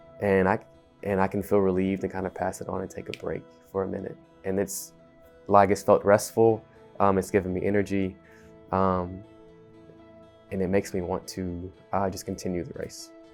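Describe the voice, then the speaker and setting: A man's very deep, low voice at a moderate pace, fairly even in intonation, with long, frequent pauses, big swings in loudness and music in the background. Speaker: restaurant manager. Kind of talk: interview answer.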